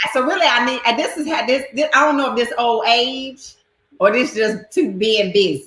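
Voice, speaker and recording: With a strong Southern US accent, a woman talks in a high pitch, her tone animated and her pitch variation ordinary. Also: moderate pace. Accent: Southern twang, strong. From North Carolina, US South. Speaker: live stream host. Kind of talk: casual chat. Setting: live video stream.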